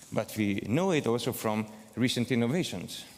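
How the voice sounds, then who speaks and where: The speaker has a Hungarian accent. The intonation is lively. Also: man. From southern Hungary. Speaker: academic researcher, conference keynote speaker. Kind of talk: keynote lecture. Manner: hesitant, many fillers.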